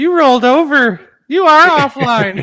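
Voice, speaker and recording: At a moderate pace, a put-on character voice speaks with a high pitch. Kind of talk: robotic.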